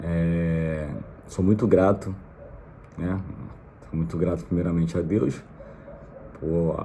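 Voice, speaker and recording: Speaking very slowly in a Rio de Janeiro accent, a man keeps a fairly even intonation amid audible room echo. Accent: Brazilian Portuguese, carioca. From Brazil, Rio de Janeiro. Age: 30s. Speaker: vlogger, immigrant. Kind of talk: casual vlog monologue. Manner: hesitant, many fillers.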